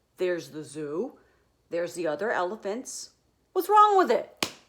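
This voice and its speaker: A put-on character voice, female-sounding, at a middle pitch. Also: moderate pace. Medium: read story. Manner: complaining.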